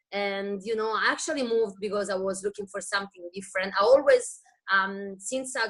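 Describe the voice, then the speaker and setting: At a fairly quick pace, a woman with a medium pitch speaks with an Italian accent. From Italy, Rome. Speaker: wellness business distributor. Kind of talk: testimony.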